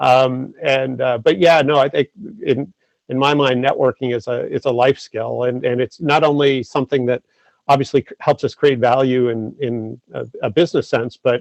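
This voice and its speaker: Recorded with a dry, close sound and no echo, a man talks at a moderate pace in a medium pitch, his intonation fairly even. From Massachusetts, US. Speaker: entrepreneur. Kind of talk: interview. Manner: halting, many repetitions and fillers.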